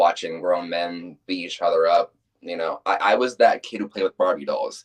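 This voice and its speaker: The sound is dry and close, without any echo. A man speaks at a moderate pace. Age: 20s. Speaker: professional wrestler. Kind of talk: interview.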